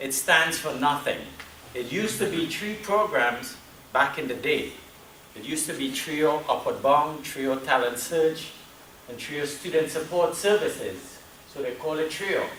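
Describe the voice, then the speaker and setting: Speaking in a Trinidadian accent at a fairly slow pace, a man with a fairly high pitch and ordinary pitch variation shows big swings in loudness, with audible room echo and noticeable background noise. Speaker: university program staff presenter. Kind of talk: presentation at a meeting.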